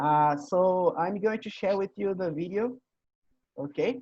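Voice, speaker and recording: In a Portuguese accent, a man speaks at a fairly slow pace with a high pitch and ordinary pitch variation. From Brazil. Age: 20s. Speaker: English teacher hosting a conversation meeting. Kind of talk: casual online group conversation.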